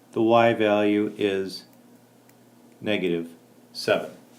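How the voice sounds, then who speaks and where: Ordinary pitch variation marks this man's voice. His pitch is fairly low. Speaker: math teacher. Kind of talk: tutorial.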